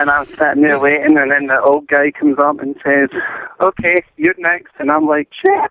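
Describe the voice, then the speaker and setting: A man with a Scottish accent speaks at a moderate pace in a fairly high voice with monotone, flat intonation. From Scotland. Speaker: caller. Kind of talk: telling a funny anecdote. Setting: phone call.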